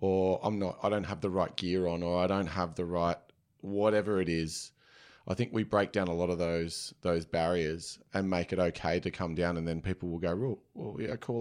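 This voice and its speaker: Fairly even intonation comes with an Australian accent at a moderate pace. The recording is very clean, with a silent background. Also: man. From Sydney, inner west. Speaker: run club founder. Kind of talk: casual interview.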